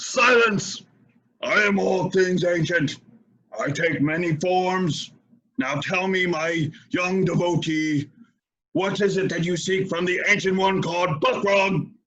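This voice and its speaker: In a put-on character voice with a dramatic tone, a man speaks at a high pitch, fairly slowly, with fairly even intonation. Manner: commanding, dramatic.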